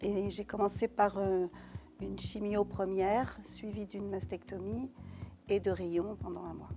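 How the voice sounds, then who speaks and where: Music plays in the background as a woman speaks at a fairly slow pace. Her loudness swings widely. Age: 60s. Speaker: breast cancer patient. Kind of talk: testimony. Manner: halting.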